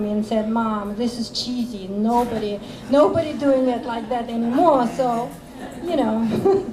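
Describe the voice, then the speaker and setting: With a Russian accent, the speaker talks at a fairly slow pace with ordinary pitch variation, over noticeable background noise and audible room echo. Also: woman. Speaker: author. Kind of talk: interview Q&A. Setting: coffee shop with audience. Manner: halting.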